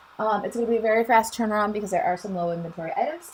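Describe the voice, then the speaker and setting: Speaking at a very fast pace over noticeable background noise, a woman uses a medium pitch. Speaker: craft demonstrator and channel host. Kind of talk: live stream tutorial and chat. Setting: live stream on Facebook and YouTube. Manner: casual, chatty with filler ums.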